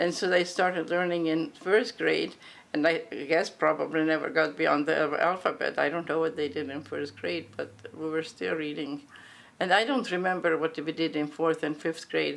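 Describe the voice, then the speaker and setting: In a Hungarian accent, a woman speaks at a moderate pace with a very deep, low pitch and fairly even intonation. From grew up in US South and Midwest, Hungarian refugee family. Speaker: Hungarian refugee interviewee. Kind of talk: oral history interview. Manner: hesitant, many fillers and restarts.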